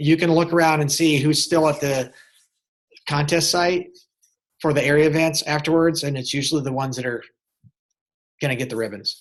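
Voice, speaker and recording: A man's fairly high-pitched voice, fairly even in intonation, against a quiet background. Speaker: agriculture teacher. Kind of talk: webinar presentation. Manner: fast.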